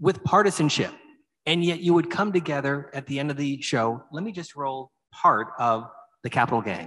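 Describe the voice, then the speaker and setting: At a moderate pace, a man speaks in an American accent against a quiet background. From Erie, Pennsylvania. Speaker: moderator. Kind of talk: on-stage interview. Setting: stage with audience. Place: stage. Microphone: handheld.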